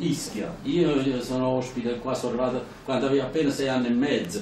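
There's audible room echo and light background noise as a man speaks at a fairly quick pace. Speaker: speaker. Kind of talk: public talk with anecdotes. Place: hall. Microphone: camera far.

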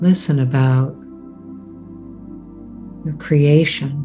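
Over background music, a woman speaks at a very slow pace in a very deep, low pitch. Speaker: Reiki meditation guide. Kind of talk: guided meditation. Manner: slow, soft-spoken.

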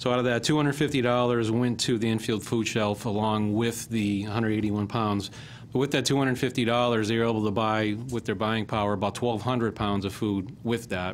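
Against light background noise, a man talks at a fairly slow pace with hardly any pauses, fairly even intonation and very even loudness. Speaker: public works official; presenter. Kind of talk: presentation. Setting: council chambers. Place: meeting room. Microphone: podium.

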